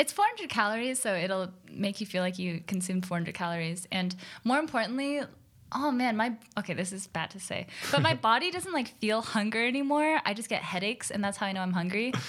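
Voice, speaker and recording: A normal speaking voice from a woman, medium in pitch, with lively intonation at a fairly quick pace. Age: 20s. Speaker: streamer and professional gamer. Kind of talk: casual podcast chat. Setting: studio with cameras.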